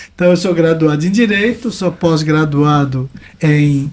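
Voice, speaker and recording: A man speaks with a plain, everyday voice at a fairly high pitch. His pace is moderate and his pitch variation ordinary. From Brazil, Santa Catarina coast (Balneário Camboriú). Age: 60s. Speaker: environmental consultant and author. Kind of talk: podcast interview.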